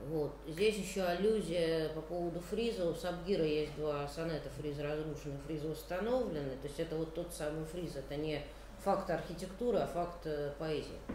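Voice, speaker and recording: Noticeable background noise and audible room echo surround a woman's fairly low voice. She talks at a moderate pace with ordinary pitch variation. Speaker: poet. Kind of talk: poetry reading. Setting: stage with audience.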